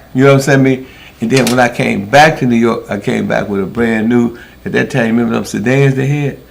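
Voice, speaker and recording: Amid noticeable background noise, a man talks fairly quickly at a medium pitch with fairly even intonation. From US Midwest, Milwaukee. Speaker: former pimp telling life stories. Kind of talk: casual storytelling conversation.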